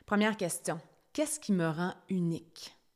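In a Quebec accent, a woman with fairly low pitch speaks in an animated tone on a very clean recording with a silent background. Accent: Québécois French. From Quebec, Estrie (Brompton near Sherbrooke). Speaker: podcast host, personal development coach. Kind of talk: solo podcast monologue.

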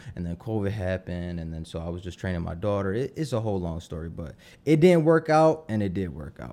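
A man's very deep, low voice with a Philadelphia accent, dark and mellow in tone, very wide pitch swings, a very fast pace, and a very clean recording with a silent background. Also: big swings in loudness. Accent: Philadelphia urban American. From Philadelphia, US Northeast. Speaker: tattoo artist. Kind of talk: casual interview chat.

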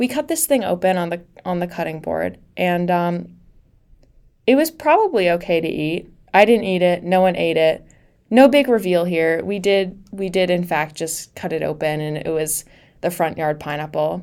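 A woman speaks at a moderate pace with a fairly low pitch and ordinary pitch variation. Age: 20s. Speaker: podcast host. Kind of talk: casual solo monologue. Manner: animated.

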